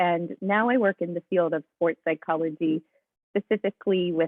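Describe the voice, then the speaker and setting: Speaking with an American accent at a moderate pace, a woman uses ordinary pitch variation at a fairly low pitch in an unremarkable speaking voice. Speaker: sports psychology coach. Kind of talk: webinar presentation.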